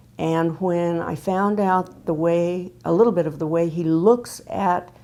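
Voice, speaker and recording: A woman's fairly low voice with an American accent, dark, mellow tone and fairly even intonation. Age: 70s. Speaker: patient, retired speech pathologist. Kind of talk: testimony. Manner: halting.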